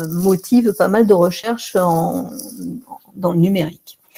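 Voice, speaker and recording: Here the pace is very slow. The woman's tone is dark and mellow. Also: quiet background. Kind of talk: lecture. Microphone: webcam.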